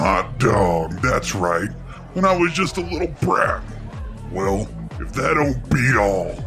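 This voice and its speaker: A put-on character voice speaks at a fairly slow pace over loud background music. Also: man. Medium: read story. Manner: gruff, swaggering.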